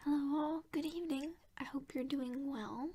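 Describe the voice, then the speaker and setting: Soft-spoken, the voice moves at a very slow pace. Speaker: ASMR creator. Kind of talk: ASMR unboxing.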